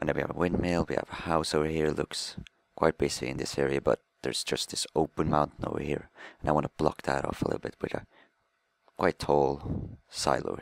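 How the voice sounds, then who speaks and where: Dry, close sound with no echo frames a man's very deep, low voice with vocal fry. He moves at a fairly quick pace in a monotone, flat intonation. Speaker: gaming commentator. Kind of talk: gameplay commentary. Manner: halting, self-correcting. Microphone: microphone faulty, bad commentary audio.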